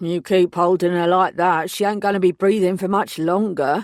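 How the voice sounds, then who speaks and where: In a gruff put-on character voice, the speaker holds a middle pitch. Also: moderate pace. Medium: read story. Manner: gruff, laconic.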